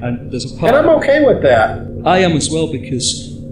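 A man with an English accent is heard with audible room echo and noticeable background noise. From England. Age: 40s. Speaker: podcast host. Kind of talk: casual chat.

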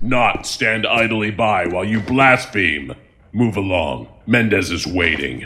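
Using a put-on character voice, a man talks fairly slowly at a fairly low pitch. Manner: stern, warning.

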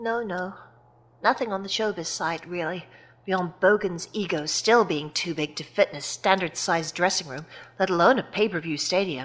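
An unremarkable speaking voice moves at a moderate pace with ordinary pitch variation. Its loudness swings widely. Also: woman, medium pitch for a woman. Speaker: wrestling company president character. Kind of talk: scripted comedic audio drama. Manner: brisk, exasperated, businesslike.

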